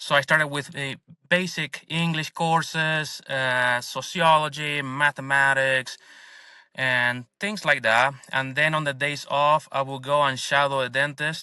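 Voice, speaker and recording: A man speaks slowly-ish, at a fairly slow pace, with a fairly high pitch and fairly even intonation. His tone is bright and sharp, and the recording is very clean with a silent background. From Argentina. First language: Spanish. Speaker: dentist and business owner. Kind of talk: interview podcast.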